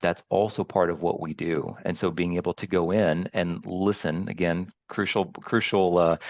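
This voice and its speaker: A man with a very deep, low voice and an American accent, dry and close with no echo against a quiet background. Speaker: training academy director. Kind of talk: interview.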